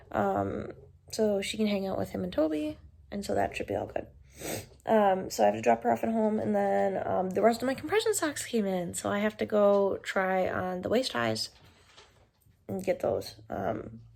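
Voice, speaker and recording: A woman at a moderate pace in a very clean recording with a silent background. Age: 20s. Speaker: vlogger with chronic illness. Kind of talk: casual vlog. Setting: hospital sleep lab. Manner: filler-heavy casual speech; quiet.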